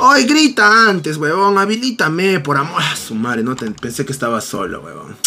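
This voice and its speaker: A man's high voice with an animated tone, very wide pitch swings and big swings in loudness, at a moderate pace with hardly any pauses, over light background noise. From Peru. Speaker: gaming streamer. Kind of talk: casual chat. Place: home room.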